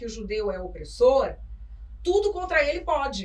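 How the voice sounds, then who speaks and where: A woman speaks at a fairly slow pace in an animated tone, with noticeable background noise and audible room echo. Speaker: journalist and author. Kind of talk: interview conversation. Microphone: poor audio capture.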